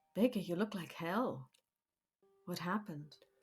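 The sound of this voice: A woman puts on a gravelly character voice at a medium pitch, keeping a moderate pace while faint music plays in the background.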